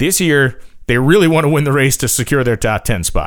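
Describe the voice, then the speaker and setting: A man's fairly high voice at a moderate pace. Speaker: podcast host. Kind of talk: opinionated solo podcast rant. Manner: emphatic, fired-up, indignant, defiant; brash, punchy, repeats phrases.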